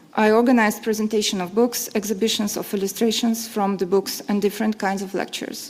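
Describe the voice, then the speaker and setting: A woman's fairly high-pitched, monotone voice at a very fast pace with hardly any pauses, over noticeable background noise. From Belarus. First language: Belarusian. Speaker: literary translator and publisher. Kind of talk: conference panel talk. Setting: conference panel with audience.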